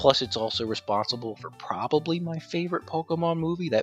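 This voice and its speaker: Speech moves at a fairly quick pace with music playing in the background. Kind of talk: casual gaming commentary.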